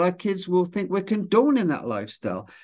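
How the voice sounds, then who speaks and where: A man speaks with a British accent over a quiet background. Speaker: author and speaker. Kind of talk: casual interview. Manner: storyteller.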